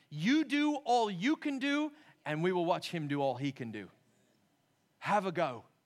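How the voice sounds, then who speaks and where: This man has a high voice and an American accent. He speaks at a fairly slow pace with very wide pitch swings. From California and North Carolina, US. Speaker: pastor. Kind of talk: sermon. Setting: church.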